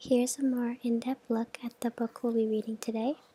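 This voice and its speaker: A soft-spoken woman with a fairly high voice and a gentle, dark, mellow tone talks at a moderate pace in a dry, close sound with no echo. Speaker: language learner studying Japanese. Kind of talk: softly spoken ASMR study-with-me narration. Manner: soft-spoken, gentle.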